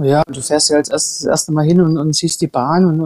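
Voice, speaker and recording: A woman speaks at a moderate pace with a dark, mellow tone and fairly low pitch. Her intonation is fairly even, and the sound is dry and close with no echo. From Saxony, Germany (Erzgebirge). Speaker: retired luge champion. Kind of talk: interview.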